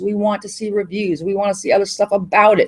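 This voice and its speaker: The speaker is a woman. She talks at a fairly high pitch. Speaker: webinar presenter, internet marketing teacher. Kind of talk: webinar presentation. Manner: fast.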